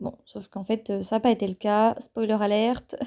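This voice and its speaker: The woman's voice sits at fairly high pitch. She speaks at a fairly slow pace. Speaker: podcaster and engineering student. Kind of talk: solo podcast monologue. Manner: hesitant with frequent fillers.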